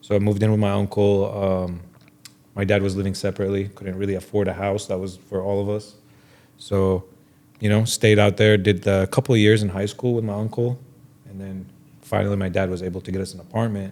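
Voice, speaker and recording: A man with an Arabic accent speaks at a fairly quick pace. His tone is dark and mellow, his pitch fairly low, and his intonation monotone and flat. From Jordan. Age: 30s. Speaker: watch dealer. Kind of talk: casual interview. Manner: casual.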